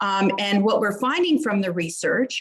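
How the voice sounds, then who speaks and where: This woman has a medium-pitched, somewhat breathy voice. Her intonation is lively. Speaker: psychologist and program developer. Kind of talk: conference presentation. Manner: fast.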